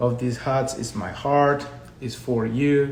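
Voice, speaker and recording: Fairly slow, fairly even speech amid noticeable background noise and audible room echo. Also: man. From Colombia. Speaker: education consultant. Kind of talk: live stream talk. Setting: social media live video.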